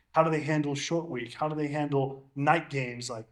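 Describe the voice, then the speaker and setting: A man with an ordinary speaking voice. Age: 30s. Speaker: NFL long snapper. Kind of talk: casual chat.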